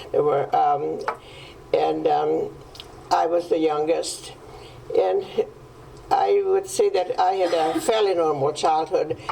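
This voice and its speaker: A woman with a Hungarian accent at a fairly slow pace, over noticeable background noise. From Hungary. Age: 90s. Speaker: Holocaust survivor. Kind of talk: testimony. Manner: halting. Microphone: microphone problem.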